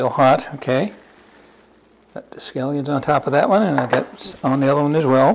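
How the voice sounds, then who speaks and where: There is noticeable background noise. A man talks at a moderate pace in a fairly high pitch. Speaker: home cooking channel host. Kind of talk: cooking tutorial. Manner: casual, halting with repeated words.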